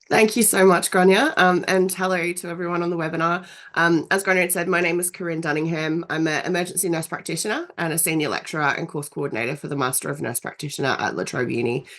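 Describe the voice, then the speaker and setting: Very fast and with hardly any pauses, a woman speaks in an Australian accent at a fairly low pitch with ordinary pitch variation. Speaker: nurse practitioner and university lecturer. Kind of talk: webinar presentation. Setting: video call webinar. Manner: hesitant, many fillers.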